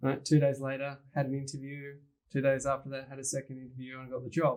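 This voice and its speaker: At a very fast pace, a man with a fairly high pitch speaks with big swings in loudness. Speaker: personal development coach. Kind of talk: panel discussion. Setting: filmed panel. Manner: animated.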